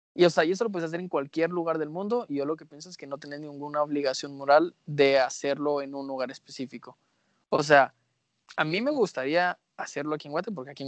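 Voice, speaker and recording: Speech moves at a very fast pace with ordinary pitch variation. The background is quiet. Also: man, dry, close sound with no echo. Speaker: podcast co-host. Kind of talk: casual chat.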